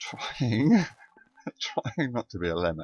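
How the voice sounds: A man mumbles at a slow pace, his fairly low pitch making big swings. His tone is slightly mellow with a slightly husky edge.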